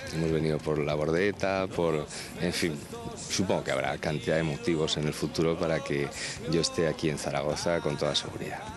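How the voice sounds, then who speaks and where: A man's very deep, low voice at a moderate pace, with fairly even intonation, a dry sound with no echo, and clear music in the background. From Asturias, Spain. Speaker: singer-songwriter. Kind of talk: interview answer. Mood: warm, pleased. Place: hall. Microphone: handheld.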